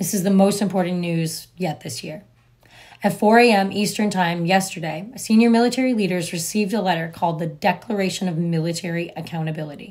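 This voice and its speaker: The speech comes at a very fast pace, somewhat breathy, with ordinary pitch variation. The background is quiet. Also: woman, medium pitch for a woman. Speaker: political commentary vlogger. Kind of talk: news commentary. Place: home room. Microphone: phone near.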